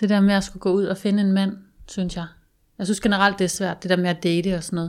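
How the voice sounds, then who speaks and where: A woman talks at a very fast pace with monotone, flat intonation and medium pitch. The recording is very clean and the background silent. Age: 30s. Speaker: guest sharing personal story. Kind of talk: casual chat. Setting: studio.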